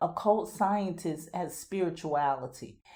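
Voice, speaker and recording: The voice has a dark, mellow tone with a slight Southern US accent. It moves at a fairly slow pace with very wide pitch swings. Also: woman. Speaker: podcast host. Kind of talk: scripted monologue.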